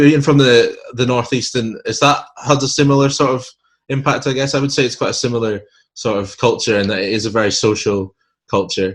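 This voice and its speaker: A man talks at a fairly quick pace in a Scottish accent. His voice is somewhat breathy. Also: medium pitch for a man, ordinary pitch variation. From Scotland. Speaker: podcast host. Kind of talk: casual interview chat.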